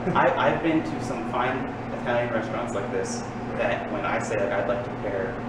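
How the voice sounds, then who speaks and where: A man talks at a moderate pace amid loud background noise and audible room echo. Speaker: beer blog interviewer. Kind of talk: interview questions. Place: bar.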